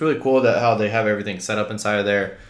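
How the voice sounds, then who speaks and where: Very fast male speech at a fairly low pitch, with audible room echo. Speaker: real estate wholesaling vlogger. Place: home room.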